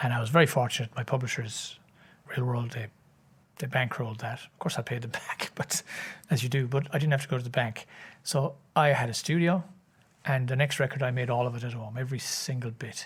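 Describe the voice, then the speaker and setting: A man with an Irish accent, medium pitch, fairly even intonation, a somewhat breathy voice and a fairly quick pace, on a very clean recording with a silent background. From Ireland, County Cork. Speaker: singer and composer. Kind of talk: interview answer.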